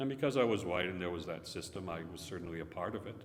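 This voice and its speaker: The voice shows ordinary pitch variation, and audible room echo surrounds it. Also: man. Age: 70s. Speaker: visiting Sikh speaker. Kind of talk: religious talk with Q&A. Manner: conversational.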